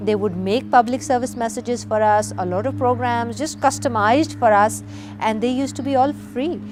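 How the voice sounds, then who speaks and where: A woman's voice moves at a moderate pace, with noticeable background noise around it. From Pakistan. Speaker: activist. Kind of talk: documentary interview.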